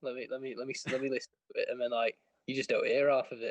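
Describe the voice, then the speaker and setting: The man speaks with an English accent. The sound is dry and close, with no echo. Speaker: football podcast co-host. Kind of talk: casual chat. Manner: animated. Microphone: poor mic, cuts out.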